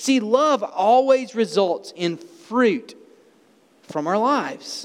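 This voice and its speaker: With an Alabama accent, a man speaks at an extremely high pitch, his intonation lively. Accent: Southern US (Alabama). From US South, small-town Alabama. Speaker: pastor. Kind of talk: sermon.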